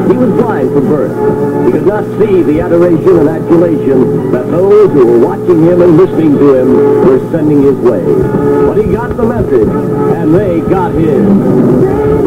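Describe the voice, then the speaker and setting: Over loud music in the background, a man talks at a fairly slow pace with hardly any pauses. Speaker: radio disc jockey. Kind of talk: radio show host narration. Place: studio. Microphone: old recording.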